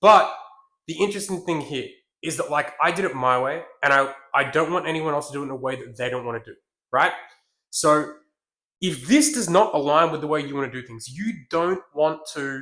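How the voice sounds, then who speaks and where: Speaking with an Australian accent, a man with a fairly high pitch and a bright, sharp, animated tone shows ordinary pitch variation, big swings in loudness and long, frequent pauses. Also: fairly quick pace. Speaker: business coach. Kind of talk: business tutorial. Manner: fast; aggressive, animated.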